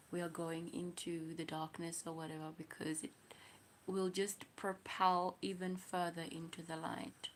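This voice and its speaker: This woman speaks with a South African accent. Her pitch sits fairly low. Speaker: livestreamer. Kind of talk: casual livestream chat.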